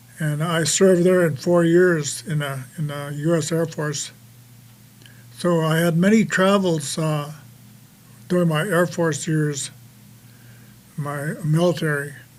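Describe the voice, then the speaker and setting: Pausing long and often, a man with a fairly high pitch and fairly even intonation talks amid audible room echo. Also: fairly slow pace. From US Midwest, Dakota reservation. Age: 80s+. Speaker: war veteran. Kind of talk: testimony. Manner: halting, many fillers.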